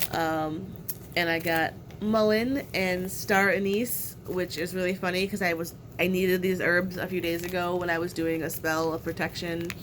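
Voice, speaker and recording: In a room with audible echo, a woman with a fairly low voice speaks fairly slowly and with fairly even intonation. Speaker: witchcraft content creator. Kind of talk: unboxing video. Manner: hesitant fillers.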